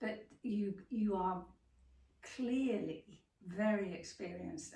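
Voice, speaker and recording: A woman talks at a medium pitch with ordinary pitch variation and some vocal fry. Room echo is audible. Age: 70s. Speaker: interviewer, writer and yoga student. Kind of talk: interview.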